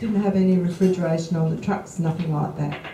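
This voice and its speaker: Australian-accented woman's voice, moderate in pace. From Adelaide, South Australia. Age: 70s. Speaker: author and public speaker on outback life. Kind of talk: after-lunch talk to a club audience. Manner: chatty, anecdotal.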